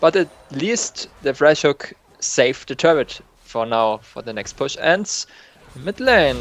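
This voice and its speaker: The sound is dry and close, with no echo, as a man talks very slowly. His fairly high voice has big swings in loudness. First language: not English. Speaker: novice shoutcaster. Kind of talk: live game commentary. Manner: hesitant, non-native English.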